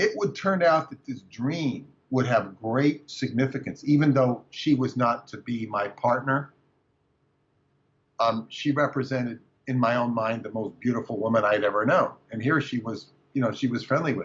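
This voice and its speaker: With ordinary pitch variation, a man speaks at a medium pitch in a somewhat breathy voice. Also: moderate pace. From California. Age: 60s. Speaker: author and researcher. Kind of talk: interview. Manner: halting.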